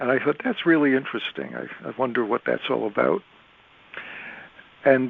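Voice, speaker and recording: There is noticeable background noise behind a man with an American accent. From Connecticut, US. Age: 70s. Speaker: astrologer and author. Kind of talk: interview.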